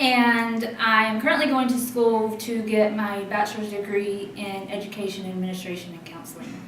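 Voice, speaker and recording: Over noticeable background noise, a woman with a fairly high pitch talks at a moderate pace with fairly even intonation, hardly any pauses and big swings in loudness. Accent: Southern US. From North Carolina, Asheboro. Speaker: student veteran. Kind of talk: panel interview.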